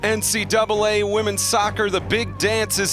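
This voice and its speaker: Very wide pitch swings at a fairly slow pace, with music in the background. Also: man. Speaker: sports broadcaster. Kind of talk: broadcast open.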